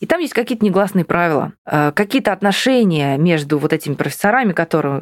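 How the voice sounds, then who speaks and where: A woman with an unremarkable speaking voice talks at a fairly low pitch with lively intonation, in a very clean recording with a silent background and a dry, close sound with no echo. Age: 30s. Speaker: English teacher. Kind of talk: coaching session.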